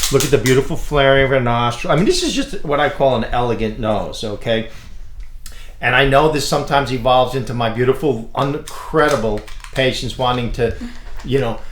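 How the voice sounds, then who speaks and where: A man's medium-pitched voice moves at a fairly quick pace, with audible room echo around it. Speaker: plastic surgeon. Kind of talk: casual chat. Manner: loud; animated.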